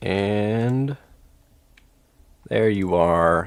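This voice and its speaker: A man's fairly low voice, with ordinary pitch variation, comes through in a very clean recording against a silent background. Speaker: gaming streamer. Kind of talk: live stream chat. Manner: animated; loud.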